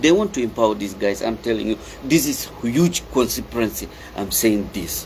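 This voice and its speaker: At a moderate pace, a man speaks amid noticeable background noise. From Darfur, Sudan. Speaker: activist commentator. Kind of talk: impassioned political monologue. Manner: loud; halting, repetitive.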